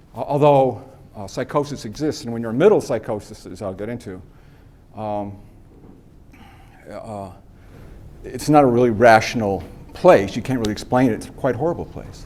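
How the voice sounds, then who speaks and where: There is audible room echo as a man with an American accent speaks at a medium pitch, leaving long, frequent pauses. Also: ordinary pitch variation, fairly quick pace, big swings in loudness. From US East. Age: 60s. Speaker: guest speaker on mental health and homelessness. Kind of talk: talk to a class. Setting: university classroom. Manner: halting, with many repeats and fillers.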